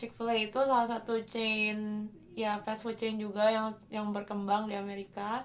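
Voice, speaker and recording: A woman talks at a moderate pace with hardly any pauses. Her fairly high voice stays monotone, with flat intonation. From Indonesia. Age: 20s. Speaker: opera singer. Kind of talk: casual chat.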